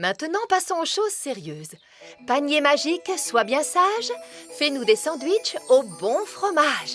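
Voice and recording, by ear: In a cartoonish character voice, a woman speaks high and fairly bright at a fairly slow pace with big pitch swings, faint music playing in the background.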